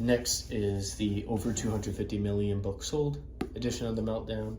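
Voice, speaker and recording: A man's speech, delivered at a moderate pace, carries audible room echo. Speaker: book collector video creator. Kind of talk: show-and-tell collection walkthrough.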